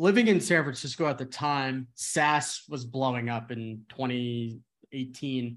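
A plain, everyday voice from a man with an American accent, at a fairly slow pace against a quiet background. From New Jersey. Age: 20s. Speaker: sales executive. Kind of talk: casual chat.

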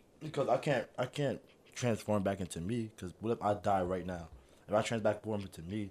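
With a plain, everyday voice, a man talks at a fairly quick pace, his pitch fairly low and his pitch variation ordinary. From northern New Jersey. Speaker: former high school basketball player. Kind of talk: casual chat.

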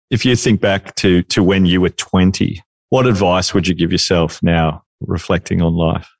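In an Australian accent, a man speaks with very deep, low pitch and fairly even intonation. His pace is moderate and his loudness very even. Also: dry, close sound with no echo. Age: 50s. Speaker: podcast co-host. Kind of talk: interview.

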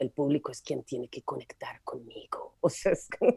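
The speech moves at a fairly slow pace, with a dry, close sound and no echo. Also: woman. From Medellín, Colombia. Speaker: comedian. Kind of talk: casual chat.

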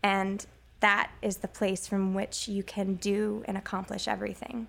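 This woman speaks fairly slowly. Her voice sits at a medium pitch. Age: young. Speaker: stage actor. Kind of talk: interview.

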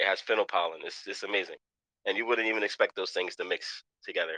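A man with a New York accent talks at a fairly quick pace in a dry, close sound with no echo. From New York, Queens. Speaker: chef. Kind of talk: casual chat.

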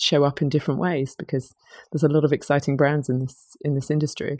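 With a British accent, a woman speaks at a fairly quick pace in a very deep, low pitch with fairly even intonation. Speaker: conference company CEO. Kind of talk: casual interview chat. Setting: conference venue.

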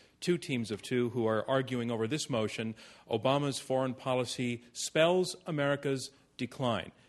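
A plain speaker talks at a moderate pace with fairly even intonation and an unremarkable speaking voice. The background is quiet. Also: man. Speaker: debate moderator. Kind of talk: moderated public debate. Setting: stage with audience. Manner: formal.

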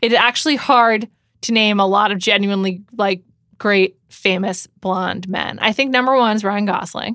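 With an American accent, a woman speaks at a moderate pace in a bright, sharp tone, her medium pitch held to fairly even intonation. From New York City. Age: 30s. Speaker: podcast host. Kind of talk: casual chat. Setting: studio.

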